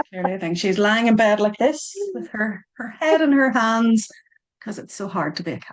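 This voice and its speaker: A woman with a Northern Irish accent speaks at a moderate pace, her fairly high voice carrying lively intonation. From Northern Ireland. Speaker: author and Reiki teacher. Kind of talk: casual chat. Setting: video call.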